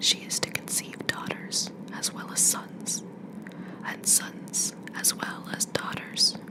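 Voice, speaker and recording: Whispering at a very slow pace, over noticeable background noise. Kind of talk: ASMR poetry reading. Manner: whispered.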